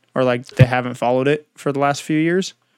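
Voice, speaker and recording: Talking very fast, a man with an American accent keeps a medium pitch and fairly even intonation. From Southern California. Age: 20s. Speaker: podcast host. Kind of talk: casual interview chat.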